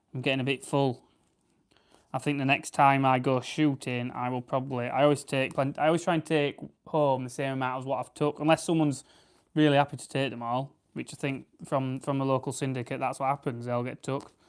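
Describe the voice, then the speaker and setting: With a South Yorkshire accent, a man speaks at a medium pitch in a relaxed tone. His pace is fairly quick and his intonation is monotone and flat. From South Yorkshire, England. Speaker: farmer and livestreamer. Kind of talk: casual live stream chat with viewers. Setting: live stream while preparing grouse. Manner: relaxed, chatty.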